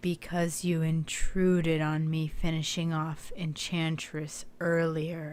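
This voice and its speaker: A woman's put-on character voice, raspy and fairly low-pitched, with monotone, flat intonation, a fairly slow pace and hardly any pauses. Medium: game stream. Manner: calm, self-assured.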